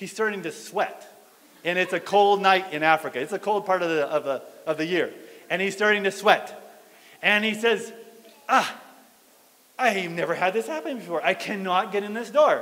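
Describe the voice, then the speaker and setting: A man talks at a high pitch and a moderate pace with ordinary pitch variation. Long pauses come frequently. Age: 50s. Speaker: pastor. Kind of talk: sermon. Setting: church fellowship hall. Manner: animated. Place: hall. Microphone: handheld.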